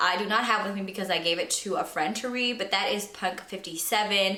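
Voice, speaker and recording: The speaker is a woman with a medium-pitched voice. Noticeable background noise and audible room echo are present. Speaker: book youtuber. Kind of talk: casual vlog monologue.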